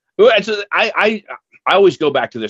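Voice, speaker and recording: Vocal fry runs through this man's fairly quick delivery. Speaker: podcast co-host. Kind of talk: casual chat.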